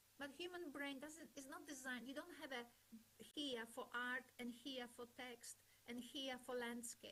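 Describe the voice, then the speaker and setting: In a raised, projected voice with a bright, sharp tone and a non-native accent, the speaker goes at a fairly slow pace with fairly even intonation. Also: woman. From Poland. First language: not English. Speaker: webinar speaker on language education. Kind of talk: lecture.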